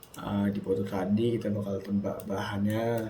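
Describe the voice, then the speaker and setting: A soft-spoken man with a fairly low voice talks at a fairly slow pace with fairly even intonation. Audible room echo and noticeable background noise are present. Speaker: student. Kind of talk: tutorial.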